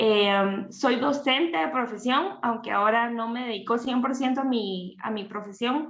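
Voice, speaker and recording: A woman with a plain, everyday voice, a fairly slow pace and ordinary pitch variation. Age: 30s. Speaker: teacher and family ministry leader. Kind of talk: interview on livestream.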